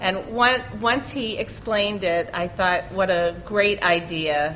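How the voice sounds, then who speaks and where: In a room with audible echo and noticeable background noise, a speaker with a Boston accent talks at a fairly slow pace. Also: woman. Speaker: college communication professor. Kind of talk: conference panel talk. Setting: conference session with audience.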